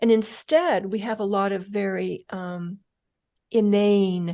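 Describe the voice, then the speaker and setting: A soft-spoken woman talks at a medium pitch with ordinary pitch variation. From rural upbringing on a ranch. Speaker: mental toughness expert, former FBI agent. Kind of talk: interview answer.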